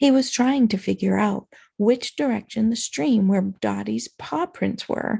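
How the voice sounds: Quiet background behind a natural reading voice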